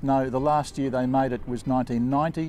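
Over faint background music, the speaker goes at a fairly quick pace with fairly even intonation. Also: man. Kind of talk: interview answer. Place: street.

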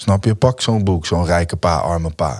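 Over a quiet background, a man speaks with ordinary pitch variation. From Netherlands. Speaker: musician; podcast guest. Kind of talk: casual interview. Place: studio. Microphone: studio mic.

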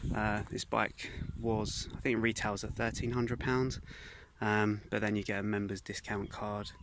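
A man's fairly low voice at a moderate pace, dry with no echo, over noticeable background noise. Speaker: mountain bike vlogger. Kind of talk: casual vlog chat. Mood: relaxed, friendly. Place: open country. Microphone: phone near.

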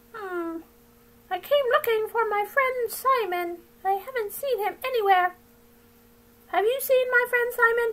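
A cartoonish character voice at an extremely high pitch moves at a moderate pace, broken by long, frequent pauses. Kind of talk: puppet show performance. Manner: playful, silly.

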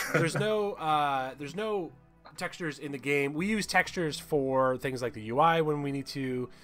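The intonation here is lively. Faint music plays in the background. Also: man. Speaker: game artist. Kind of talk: live stream chat. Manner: fast; animated. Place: home room.

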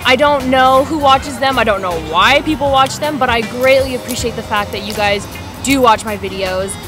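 Clear music plays behind a woman who speaks at a high pitch and a fairly quick pace, with ordinary pitch variation. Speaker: vlogger. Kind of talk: casual vlog chat. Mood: grateful, bubbly. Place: home room. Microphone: webcam.

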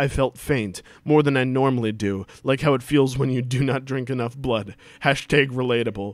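The speaker uses a natural reading voice. It comes through plainly in the clip.

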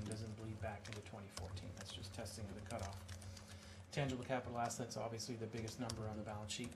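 A man talks over noticeable background noise. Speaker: external auditor presenting to council. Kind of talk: formal presentation. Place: hall. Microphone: podium.

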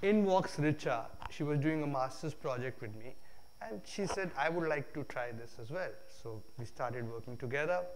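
Over light background noise, a man talks at a moderate pace. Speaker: guest lecturer. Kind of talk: lecture. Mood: relaxed, humorous storytelling. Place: hall.

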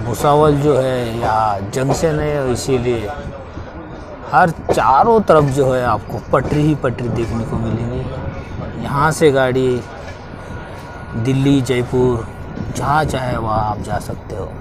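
A man's very slow speech with long, frequent pauses, in a dry sound with no echo and noticeable background noise. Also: ordinary pitch variation. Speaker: travel vlogger. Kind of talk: casual vlog commentary. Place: train. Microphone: phone near.

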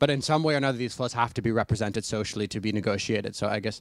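A man's very fast speech, dry with no echo, over a quiet background. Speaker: audience member. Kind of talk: audience question. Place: classroom. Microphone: handheld.

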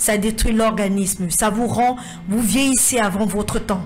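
In a room with audible echo, a woman speaks at a moderate pace and medium pitch with ordinary pitch variation.

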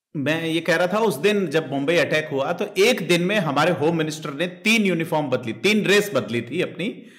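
High-pitched male speech with lively intonation, very even loudness and hardly any pauses. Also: moderate pace. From India. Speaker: interviewer. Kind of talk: interview discussion. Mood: animated, smiling. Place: home room. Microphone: studio mic.

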